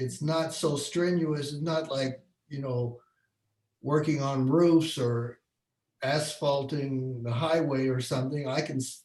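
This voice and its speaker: Here a man speaks with an American accent at a fairly high pitch. His voice is somewhat breathy, and his intonation stays fairly even. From Bloomington, Indiana. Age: 60s. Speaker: photographer. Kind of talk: online career panel talk.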